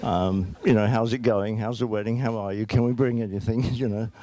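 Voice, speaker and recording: A man speaks at a moderate pace with a fairly low pitch and ordinary pitch variation. Noticeable background noise sits behind him. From southeast London. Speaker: father of the groom. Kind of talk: wedding speech. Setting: wedding reception hall with audience. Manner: halting with repetitions.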